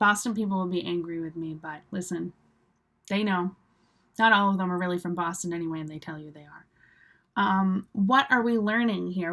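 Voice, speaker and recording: An ordinary speaking voice from a woman with an American accent, ordinary pitch variation and a fairly quick pace. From US Northeast, Cape Cod, Massachusetts. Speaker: English teacher. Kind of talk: live online English class. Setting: live stream. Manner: casual, with many fillers.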